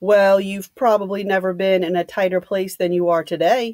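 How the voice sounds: Text read in a natural reading voice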